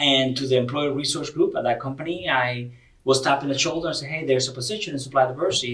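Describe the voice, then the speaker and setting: In a Spanish accent, this somewhat breathy voice races along at a very fast pace with ordinary pitch variation. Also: man. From Cuba. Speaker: corporate diversity director. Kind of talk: podcast interview. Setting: convention venue.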